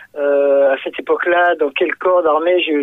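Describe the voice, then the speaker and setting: Speaking fairly slowly, a man with a fairly high voice has a slight southern French accent. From southern France, Fréjus (Var). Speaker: singer. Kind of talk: radio interview. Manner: halting, many hesitations and repetitions.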